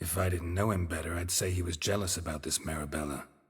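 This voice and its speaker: Delivered at a very fast pace, the put-on character voice keeps a deadpan tone. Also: man, very deep, low pitch for a man. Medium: video game. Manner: deadpan, laconic.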